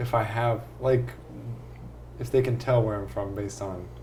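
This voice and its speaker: A man with an American accent, fairly low pitch, lively intonation, moderate pace and audible room echo. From San Diego, California; high school in upstate New York. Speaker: podcast host. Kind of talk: casual chat.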